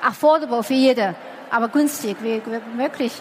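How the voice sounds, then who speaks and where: A woman's voice amid noticeable background noise. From China. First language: Chinese (speaking German). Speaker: entrepreneur. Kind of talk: interview. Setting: stage with audience.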